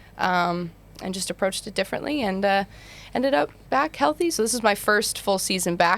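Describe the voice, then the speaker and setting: Talking at a fairly quick pace, a woman uses a medium pitch with ordinary pitch variation and some vocal fry. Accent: American. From Utah, US. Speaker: basketball player. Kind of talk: podcast interview. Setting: studio.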